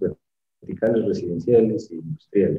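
With a dark, mellow tone, a man's voice comes across somewhat breathy. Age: 30s. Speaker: structural engineer and firm founder. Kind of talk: interview.

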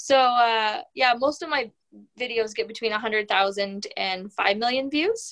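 A woman talks in an ordinary speaking voice. Her pitch is fairly high, with ordinary pitch variation. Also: moderate pace. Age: 30s. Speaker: hearing care professional and entrepreneur. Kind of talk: interview conversation.

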